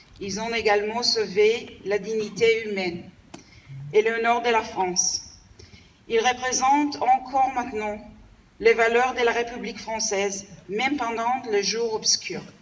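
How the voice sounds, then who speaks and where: Speaking at a fairly high pitch, a woman keeps her intonation fairly even and moves at a fairly slow pace with long, frequent pauses. Noticeable background noise runs under her voice. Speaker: diplomat. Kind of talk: formal ceremonial speech. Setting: commemoration ceremony with audience.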